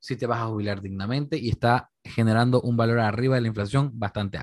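Over a quiet background, a man talks at a fairly quick pace in a medium pitch with ordinary pitch variation. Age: 20s. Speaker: financial advisor. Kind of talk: casual interview chat. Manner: animated, repetitive fillers.

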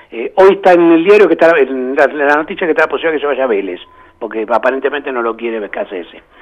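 Noticeable background noise sits behind a man's voice. He speaks at a fairly high pitch and a fairly quick pace. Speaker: football fan. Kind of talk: casual chat.

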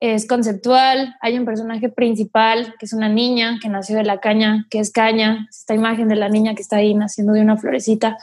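Fairly high-pitched and somewhat breathy, a woman speaks at a fairly quick pace with hardly any pauses, a flat monotone, and very even loudness. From northeastern Mexico (Mante, Tamaulipas). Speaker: singer-songwriter. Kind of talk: casual interview.

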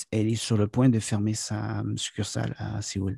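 Somewhat breathy and dark, mellow in tone, the voice sounds dry and close with no echo over a quiet background. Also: man. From Quebec, near the US border. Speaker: business consultant and corporate trainer. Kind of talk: interview. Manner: halting, many fillers.

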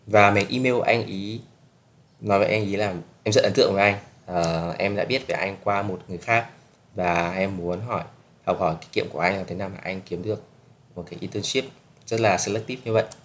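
Talking at a fairly quick pace yet with long, frequent pauses, a man uses a fairly low pitch and big swings in loudness. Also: fairly even intonation. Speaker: podcast host, student abroad. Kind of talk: casual solo podcast talk.

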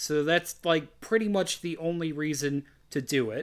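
A man speaks in a plain, everyday voice, fairly high in pitch with ordinary pitch variation. His pace is moderate, and the recording is very clean, with a silent background. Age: 30s. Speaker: horror film podcast host. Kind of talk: casual chat.

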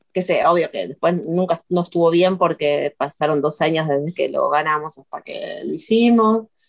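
Speaking at a fairly slow pace, a woman with an unremarkable speaking voice and a fairly low pitch shows ordinary pitch variation in a dry, close sound with no echo. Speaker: video artist. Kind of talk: interview.

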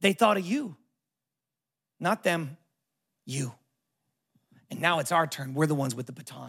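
With an American accent, a man speaks at a moderate pace and fairly high pitch, with ordinary pitch variation, on a very clean recording with a silent background. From Southern California. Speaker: pastor. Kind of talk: guest sermon to a live church congregation, building to a rousing call on generosity. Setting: church with live audience. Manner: casual and warm with frequent filler ums and uhs.

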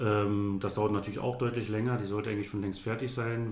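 A man's somewhat breathy, fairly low voice in a monotone, flat intonation at a fairly quick pace, with audible room echo. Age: 30s. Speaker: volunteer fire chief. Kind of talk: interview. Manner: halting, many fillers and repetitions.

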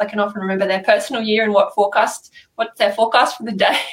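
A woman speaks at a very fast pace in an Australian accent. Her intonation is monotone and flat. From Australia, Sydney area (New South Wales). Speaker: numerologist. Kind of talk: interview. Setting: video call.

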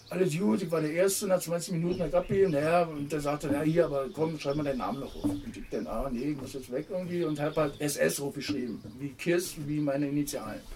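A man speaks with ordinary pitch variation and hardly any pauses. Noticeable background noise runs under his voice. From Berlin (Kreuzberg/Neukölln). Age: 50s. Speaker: former amateur footballer and punk musician. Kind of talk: casual interview. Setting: outdoors in a garden.

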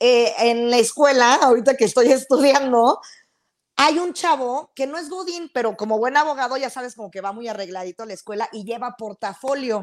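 Her high voice moves along at a moderate pace. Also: big swings in loudness. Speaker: podcast co-host. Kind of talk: casual chat.

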